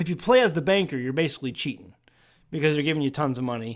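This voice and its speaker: A man's fairly high voice with an American accent and ordinary pitch variation, in a very clean recording over a silent background. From US Midwest, St. Louis area. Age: 40s. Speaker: homesteading podcast host. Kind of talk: casual podcast chat. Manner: loud; halting, many restarts.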